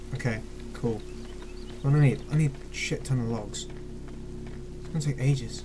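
Long, frequent pauses break up speech at a moderate pace, with music in the background. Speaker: gamer. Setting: home recording of gameplay commentary. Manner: animated, excitable, loud, cursing and gasping; impatient, stream-of-consciousness muttering.

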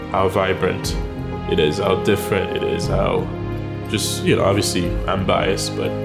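Loud background music under a man speaking at a moderate pace. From Haiti. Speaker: restaurant co-owner. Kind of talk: documentary interview answer. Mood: warm, reflective. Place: cafe. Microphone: lapel.

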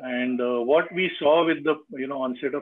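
A man with an ordinary speaking voice, fairly high in pitch with ordinary pitch variation, over light background noise. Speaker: business consultant and webinar host. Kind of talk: moderated panel discussion. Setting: video call. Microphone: video call.

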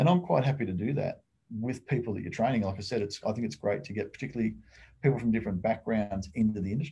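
A man with an Australian accent talks at a very fast pace, his dark, mellow tone somewhat breathy and his intonation lively. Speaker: private investigator; guest. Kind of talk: casual interview and Q&A. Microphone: webcam.

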